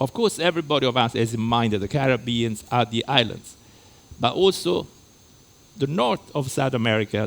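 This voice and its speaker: A man speaks fairly quickly with a slight Italian accent. His pitch is medium, with ordinary variation. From Italy. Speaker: lecturer. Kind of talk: lecture. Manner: halting.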